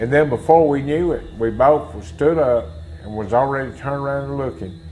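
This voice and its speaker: A man with a Mississippi accent at medium pitch, very wide pitch swings and a moderate pace, amid noticeable background noise and audible room echo. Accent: Mississippi Southern. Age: 60s. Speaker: eyewitness. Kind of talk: testimony.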